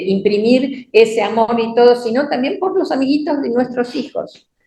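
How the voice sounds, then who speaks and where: A fairly slow pace from a woman with a high-pitched voice. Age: 70s. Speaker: church teacher. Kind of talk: sermon. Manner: halting.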